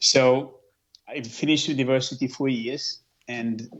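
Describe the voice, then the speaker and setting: A man speaks at a medium pitch with a Portuguese accent. His intonation is monotone and flat. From central Portugal. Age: 30s. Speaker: fitness coach and speaker. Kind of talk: interview. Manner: halting.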